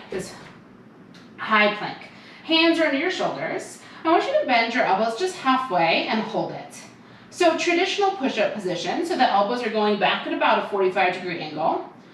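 The pitch swings very widely. Noticeable background noise sits behind the voice. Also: woman, fairly high pitch for a woman, moderate pace. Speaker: barre fitness instructor. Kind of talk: follow-along workout class cueing reps and counts. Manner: upbeat, encouraging, counting down pulses briskly; warm, giggly, chatty asides.

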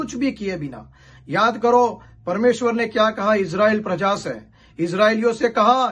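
Fairly slow and high-pitched, a man speaks with ordinary pitch variation. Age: 50s. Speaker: pastor. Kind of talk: sermon; prayer.

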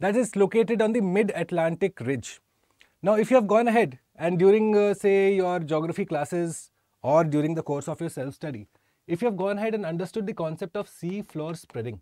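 In a dry sound with no echo and a quiet background, a man speaks fairly quickly at a high pitch with a dark, mellow tone and ordinary pitch variation. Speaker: exam prep teacher. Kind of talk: lecture. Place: studio. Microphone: lapel.

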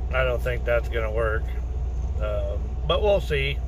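A man's very deep, low voice in a monotone, flat delivery, with noticeable background noise. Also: dry sound with no echo. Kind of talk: casual vlog chat. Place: car. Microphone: phone near.

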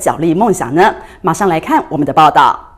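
A woman is speaking. She goes at a fairly quick pace. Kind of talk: news reading. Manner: formal, even and brisk, broadcast-style delivery.

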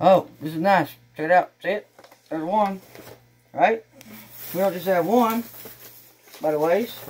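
The speaker has a Texan accent and keeps a moderate pace. Long, frequent pauses break up the speech. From Texas. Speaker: YouTuber doing unboxing videos. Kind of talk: casual unboxing vlog. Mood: cheerful, excited. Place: home room. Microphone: camera far.

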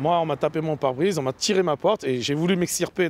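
A man talks at a very fast pace in a fairly high pitch. The sound is dry with no echo, over light background noise. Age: 40s. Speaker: ride-hail drivers' spokesman. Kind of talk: news interview testimony. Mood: indignant, recounting an attack. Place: street.

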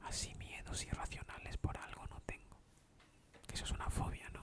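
A man is whispering. He goes at a fairly slow pace. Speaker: ASMR video maker. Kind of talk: casual talk to camera. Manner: soft-spoken, whispered. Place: home room. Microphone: studio mic.

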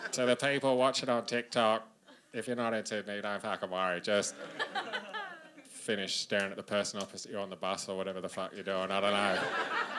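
With an Australian accent, a man speaks at a fairly quick pace against noticeable background noise. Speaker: stand-up comedian. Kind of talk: stand-up comedy set. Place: stage. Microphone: handheld.

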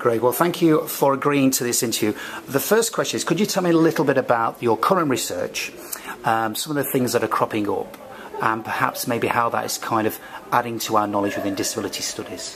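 A man with a British accent at a very fast pace, lively in intonation, over noticeable background noise. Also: medium pitch for a man. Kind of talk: academic interview. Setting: recorded at a conference.

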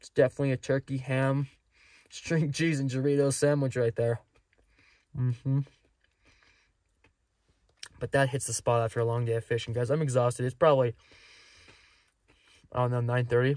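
A man speaks at a fairly quick pace in a monotone, flat intonation. The sound is dry with no echo. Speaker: fishing vlogger. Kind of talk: casual vlog chat. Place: car. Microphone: phone near.

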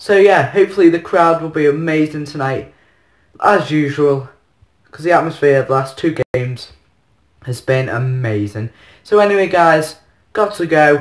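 A man at a moderate pace, with long, frequent pauses, ordinary pitch variation, audible room echo and a quiet background. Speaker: football fan vlogger. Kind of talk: casual vlog chat. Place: home room. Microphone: phone near.

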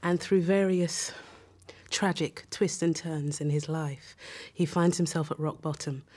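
Her tone dark and mellow, a woman speaks fairly slowly at a fairly low pitch in a flat monotone. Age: 40s. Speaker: actress; actor. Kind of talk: interview. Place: studio.

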